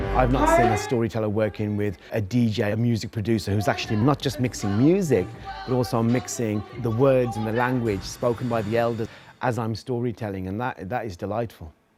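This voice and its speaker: Music plays in the background as the speaker goes at a fairly quick pace with fairly even intonation. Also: man, medium pitch for a man. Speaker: storyteller. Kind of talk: interview answer.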